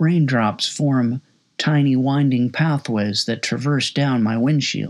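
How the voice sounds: A natural reading voice carries the clip. Behind it, the background is quiet.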